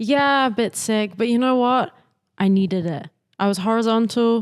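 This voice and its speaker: On a very clean recording with a silent background, a woman with a southern English accent speaks at a moderate pace with a fairly high pitch. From southern England, Isle of Wight. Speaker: singer-songwriter. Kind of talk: casual interview chat. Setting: backstage venue in London.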